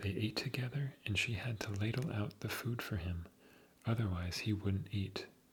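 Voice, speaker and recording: A soft-spoken man with a fairly low pitch, ordinary pitch variation and a fairly slow pace. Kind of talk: sleep story.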